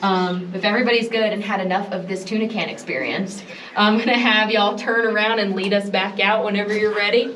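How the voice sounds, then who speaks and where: A woman speaks fairly quickly in a medium-pitched, monotone, flat voice. Noticeable background noise and audible room echo fill the recording. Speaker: cave tour guide. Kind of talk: guided tour. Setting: inside a cave with a tour group.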